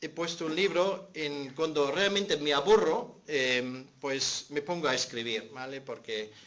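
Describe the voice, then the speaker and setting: Speaking very slowly with a German accent and ordinary pitch variation, a man is heard with audible room echo. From Germany. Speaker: pastor and seminary teacher. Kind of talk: conference talk.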